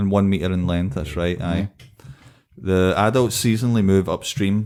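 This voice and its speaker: A man with a Scottish accent speaks at a moderate pace, his pitch fairly low with ordinary pitch variation. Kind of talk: casual podcast conversation.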